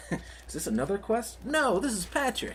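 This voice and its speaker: Delivered at a moderate pace, this put-on character voice comes with clear background noise. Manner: cartoon impression.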